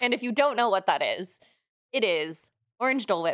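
The sound is dry and close with no echo, on a very clean recording with a silent background. The speaker has an American accent and lively intonation. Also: woman. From Oregon, US West Coast. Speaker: podcast co-host, dance fitness instructor. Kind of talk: casual chat. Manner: hesitant, many fillers.

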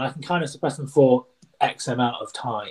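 The speaker is a man. He talks at a moderate speed. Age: 30s. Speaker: tree surgeon with Tourette's. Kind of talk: interview conversation. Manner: high pitch on some words.

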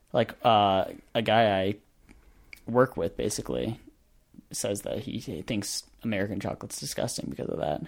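With vocal fry and a fairly low pitch, a man speaks at a moderate pace with lively intonation and long, frequent pauses. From rural area. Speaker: podcast co-host. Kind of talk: casual chat.

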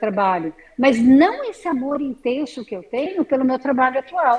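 A woman with lively intonation talks at a moderate pace in a high pitch. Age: 60s. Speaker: artisan. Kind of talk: interview.

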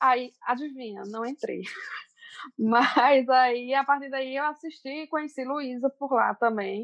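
In a Paraíba accent, a woman speaks very slowly at a high pitch with fairly even intonation, the sound dry and close with no echo. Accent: Northeastern Brazilian (Paraíba). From Brazilian Northeast, Cajazeiras, Paraíba. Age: 30s. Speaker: makeup and self-esteem influencer. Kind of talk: casual chat.

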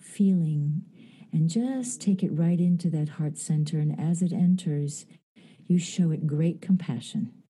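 A woman speaks at a fairly slow pace with a somewhat breathy, dark and mellow tone. Her pitch is fairly low, with ordinary variation. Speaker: actress and Reiki master. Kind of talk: guided meditation. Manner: slow, soothing, gentle.

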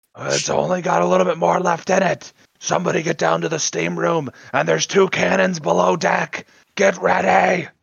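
A man in a put-on character voice speaks at a moderate pace, raspy and fairly high-pitched, with very wide pitch swings. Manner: urgent, commanding, barking orders.

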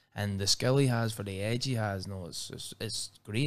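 A man with a Northern Irish accent and a fairly low pitch. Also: very clean recording, silent background. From Northern Ireland, Belfast. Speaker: professional MMA fighter. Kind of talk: casual interview.

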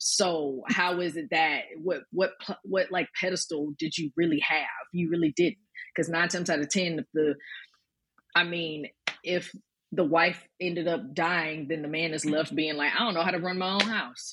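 A woman with an American accent talks at a moderate pace in an ordinary speaking voice, her pitch fairly low and her intonation fairly even. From US South, Birmingham, Alabama. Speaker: performer. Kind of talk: casual panel discussion.

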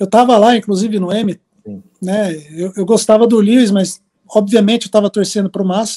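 At a moderate pace, a man speaks in a high-pitched, dark, mellow tone with flat, monotone intonation, the sound dry and close with no echo. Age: 40s. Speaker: graphic designer. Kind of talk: casual interview.

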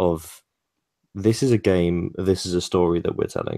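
Heard against a very clean recording with a silent background, the voice has a dark, mellow tone and a British accent. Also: man. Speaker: podcast co-host interviewing a game developer.

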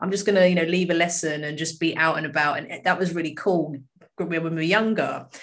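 Speaking at a fairly quick pace with a British accent, a woman keeps a fairly low pitch and fairly even intonation. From UK. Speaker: solicitor and charity co-founder. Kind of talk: casual interview.

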